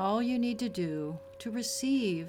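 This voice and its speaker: A woman talks at a very slow pace with ordinary pitch variation, and there is noticeable background noise. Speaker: podcast host and meditation guide. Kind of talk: guided meditation. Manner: slow, calm, soothing, gently paced with long pauses; soft-spoken, warm and reassuring.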